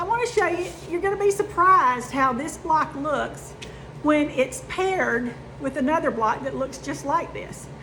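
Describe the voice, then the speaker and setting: Over noticeable background noise, a woman with a high-pitched, raised and projected voice speaks at a moderate pace with lively intonation. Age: 50s. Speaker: sewing and quilting youtuber. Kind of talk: casual chat. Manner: chatty, with fillers.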